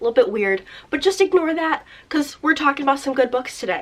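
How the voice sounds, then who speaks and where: A woman speaks at a high pitch with very wide pitch swings. Noticeable background noise runs behind her. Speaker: booktuber. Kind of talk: casual vlog chat. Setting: seated at home filming spot.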